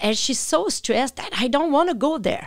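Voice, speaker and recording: A woman speaks with a strong Quebec accent and lively intonation. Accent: thick French Quebec. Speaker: animal communicator. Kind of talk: interview.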